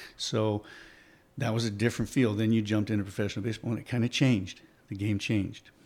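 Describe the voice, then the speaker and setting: Speaking very fast, a man uses a monotone, flat intonation. He has an American accent. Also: fairly low pitch for a man. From Oregon, US. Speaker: former baseball player. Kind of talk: casual chat.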